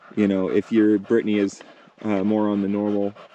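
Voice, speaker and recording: A man speaks at a fairly low pitch and a moderate pace. The sound is dry with no echo, and there is noticeable background noise. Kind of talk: product demonstration talk. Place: open country. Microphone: phone near.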